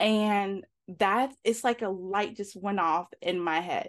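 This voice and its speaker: In a quiet background, a woman with an American accent speaks at a medium pitch and a very slow pace. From New York. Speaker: life coach and podcaster. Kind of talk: casual interview.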